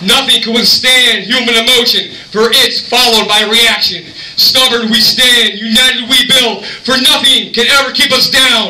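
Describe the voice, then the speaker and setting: Raised and projected, a man's extremely high voice holds a monotone, flat intonation and very even loudness, with audible room echo. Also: moderate pace. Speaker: poet. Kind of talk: poetry slam performance. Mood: dramatic, intense. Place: bar. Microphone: camera far.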